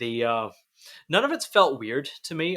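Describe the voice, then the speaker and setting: This man has a slight Canadian accent. His tone is bright and sharp. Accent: subtle Canadian. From Canada. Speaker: podcast host. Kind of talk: casual chat.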